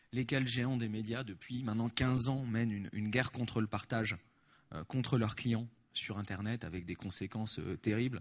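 A man's voice, medium in pitch, at a moderate pace. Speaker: activist spokesperson. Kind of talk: conference talk with Q&A. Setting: stage with audience. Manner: animated.

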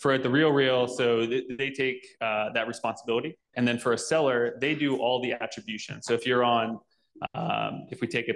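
A man at a moderate pace with fairly even intonation. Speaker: conference speaker. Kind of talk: tech talk presentation. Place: hall. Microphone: handheld.

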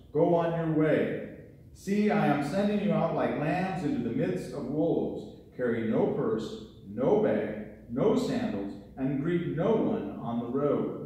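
A man at a fairly slow pace, with very wide pitch swings and strong room echo. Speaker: pastor. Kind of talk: scripture reading in sermon. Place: church.

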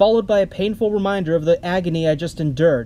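A man's high-pitched voice, dark and mellow in tone, at a fairly quick pace. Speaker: film reviewer. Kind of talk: scripted narration.

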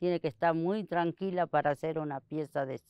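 A woman speaks against a quiet background. The sound is dry with no echo. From Argentina, Santiago del Estero. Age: 60s. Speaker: basket weaver. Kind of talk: interview testimony. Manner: halting. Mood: calm, reflective. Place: garden.

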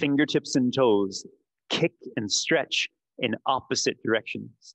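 A man at a very slow pace, dry sound with no echo, quiet background. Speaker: yoga instructor. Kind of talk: guided yoga class, instructions given. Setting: studio and Zoom class. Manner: brisk, rhythmic, commanding cues; clipped, directive, counting breaths. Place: gym. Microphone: headset.

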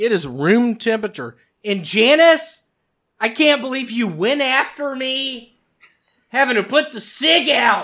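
This man speaks in a raised, projected voice with a bright, sharp tone, extremely high pitch, lively intonation and a fairly slow pace over a quiet background. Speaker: podcast co-host. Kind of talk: casual chat. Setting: studio. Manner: animated. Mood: joking, irreverent. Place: studio. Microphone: studio mic.

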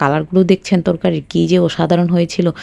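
A woman's fairly low-pitched voice, dark and mellow in tone, with ordinary pitch variation. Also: dry, close sound with no echo. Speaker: cooking vlogger. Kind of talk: narrated cooking vlog.

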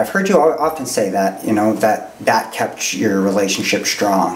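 A man speaks at a moderate pace with a Canadian accent and a medium pitch. There is audible echo in the room. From Canada (northwestern Ontario). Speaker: podcast host and youth counselor. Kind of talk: casual interview. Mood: curious, gentle, searching. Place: studio.

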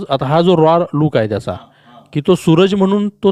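A man with a fairly high pitch and a dark, mellow tone is heard in a dry, close sound with no echo. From Sangli district, Maharashtra (Maandesh). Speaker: film director. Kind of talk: interview.

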